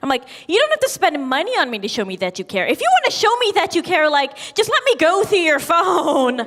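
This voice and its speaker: Over noticeable background noise, a woman speaks at a fairly quick pace in an extremely high pitch with very wide pitch swings. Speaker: stand-up comedian. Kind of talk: stand-up. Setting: stage with audience. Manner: hesitant, many fillers.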